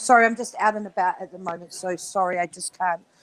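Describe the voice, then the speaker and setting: A woman with a New Zealand accent speaks at a fairly quick pace, the sound dry and close with no echo. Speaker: livestream guest. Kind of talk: casual chat. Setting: livestream call, audio only while out.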